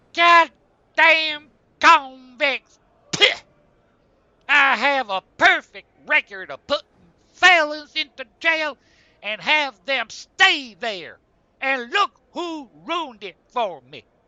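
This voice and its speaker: In a cartoonish character voice, a man speaks at an extremely high pitch and a very slow pace, with long, frequent pauses. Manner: gruff, angry.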